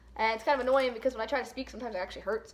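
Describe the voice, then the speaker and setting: A woman speaks in a squeaky, high-pitched voice with ordinary pitch variation. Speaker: vlogger. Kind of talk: casual vlog chat. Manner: casual, lots of fillers.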